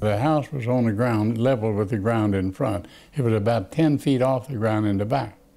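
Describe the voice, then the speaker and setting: A man with a Texan accent, dark, mellow tone, ordinary pitch variation and a moderate pace. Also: medium pitch for a man. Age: 80s+. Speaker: attorney. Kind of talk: interview answer.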